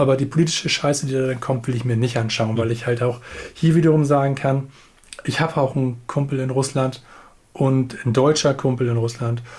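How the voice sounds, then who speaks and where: With a plain, everyday voice, a man speaks at a fairly quick pace in a medium pitch, keeping his intonation fairly even. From Hamburg. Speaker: podcast co-host. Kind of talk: casual chat. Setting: remote call.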